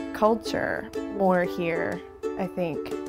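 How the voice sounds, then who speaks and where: Music can be heard behind the talking. The speaker is a woman. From South Knoxville, East Tennessee. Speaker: painter. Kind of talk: interview answer. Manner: casual, chatty.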